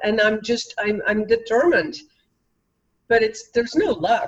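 In a Dutch accent, a woman speaks at a moderate pace with a fairly high pitch. Her intonation is lively. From Belgium. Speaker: author and cultural trainer. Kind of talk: casual interview.

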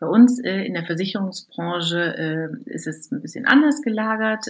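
A woman talks with lively intonation. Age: 40s. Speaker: works council member, former scrum master. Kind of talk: interview. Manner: hesitant, many filler sounds.

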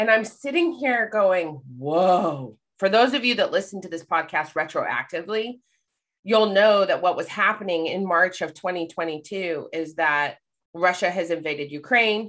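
Against a quiet background, a woman with a plain, everyday voice speaks fairly slowly at a medium pitch with lively intonation. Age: 40s. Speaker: life coach and public speaker. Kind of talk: casual chat.

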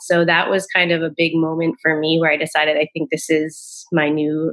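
Speaking at a moderate pace with hardly any pauses, a woman uses a normal speaking voice with a fairly low pitch, an American accent and very even loudness. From US Northeast, Rhode Island. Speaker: naturopathic doctor. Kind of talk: podcast interview, explanatory.

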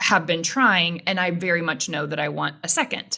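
In an ordinary speaking voice, a woman with an American accent talks at medium pitch with fairly even intonation. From Texas (Houston). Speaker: podcast host. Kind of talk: casual interview conversation.

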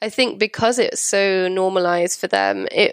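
A woman speaks at a moderate pace with a Welsh accent. The sound is dry and close with no echo, on a very clean recording with a silent background. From Wales. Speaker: textile designer. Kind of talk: casual interview.

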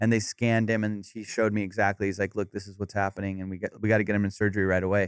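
In a Southern California accent, a man talks at a fairly low pitch and a very fast pace with hardly any pauses. The recording is very clean with a silent background and a dry, close sound with no echo. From Orange County, California. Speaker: comedian. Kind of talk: casual chat. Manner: animated.

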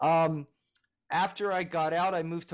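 A normal speaking voice at a fairly slow pace. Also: man. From US Northeast, Philadelphia. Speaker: music producer and engineer. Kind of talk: interview.

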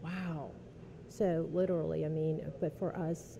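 With a very deep, low pitch, a woman speaks in a somewhat breathy, dark, mellow tone and monotone, flat intonation. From New Orleans East, Louisiana. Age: 30s. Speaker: accountant. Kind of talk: casual interview. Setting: restaurant.

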